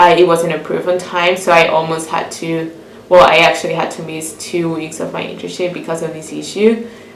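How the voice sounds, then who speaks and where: A woman with a Venezuelan accent, fairly low-pitched and monotone, flat in intonation, with audible room echo and noticeable background noise. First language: Spanish. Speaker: international student interviewee. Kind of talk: interview. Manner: hesitant, with fillers and repeats.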